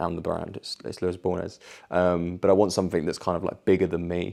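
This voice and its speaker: The voice has a dark, mellow tone and a British accent. The background is quiet. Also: man. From Tenerife and England. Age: 20s. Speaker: vlogger and fitness coach. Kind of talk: casual vlog Q&A.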